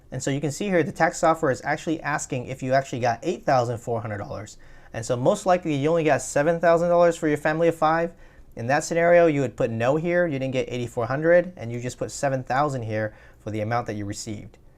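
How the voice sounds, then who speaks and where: Speech races along at a very fast pace against a quiet background. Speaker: tax tutorial youtuber. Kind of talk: tutorial.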